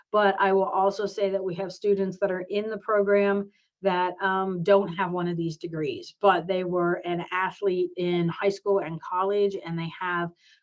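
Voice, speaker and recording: Here a woman has an ordinary speaking voice at medium pitch. She keeps a moderate pace and fairly even intonation. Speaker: program director / professor. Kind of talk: virtual information session presentation.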